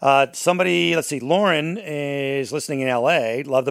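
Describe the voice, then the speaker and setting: Speaking at a moderate pace, a man has a normal speaking voice pitched fairly high. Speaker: podcast host and morning radio personality. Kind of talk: casual true crime discussion.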